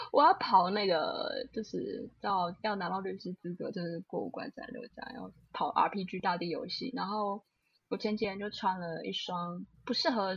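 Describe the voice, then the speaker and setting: Talking at a fairly slow pace, a woman with a medium pitch and a somewhat breathy voice shows ordinary pitch variation and big swings in loudness. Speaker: lawyer and podcast co-host. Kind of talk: casual chat.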